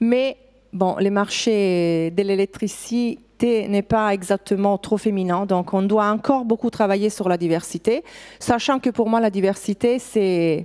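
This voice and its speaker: Very slowly and at very even loudness, a woman with an Italian accent speaks in a dark, mellow tone at a medium pitch with ordinary pitch variation, on a very clean recording with a silent background. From Italy. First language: Italian (speaking French). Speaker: HR director. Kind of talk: conference talk. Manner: halting, many fillers.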